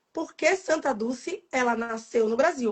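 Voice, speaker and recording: A woman's voice, high in pitch. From Salvador, Bahia, Brazil. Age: 40s. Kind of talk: casual interview chat (live stream). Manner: fast; animated.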